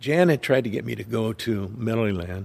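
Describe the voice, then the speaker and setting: Fairly low in pitch, a man speaks with vocal fry in an American accent. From Southern California. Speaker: retired police officer. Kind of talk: testimony.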